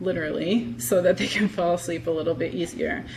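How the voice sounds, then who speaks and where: The woman speaks at a moderate pace and a fairly low pitch. There is audible room echo around her. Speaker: health psychologist giving a talk. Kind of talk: lecture.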